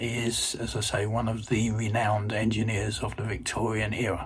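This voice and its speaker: Somewhat breathy and at a fairly slow pace, a man speaks at a medium pitch with audible room echo. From London, England. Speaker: retired electrical engineer. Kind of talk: casual self-introduction for language learners. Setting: recorded video message. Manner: hesitant, many fillers.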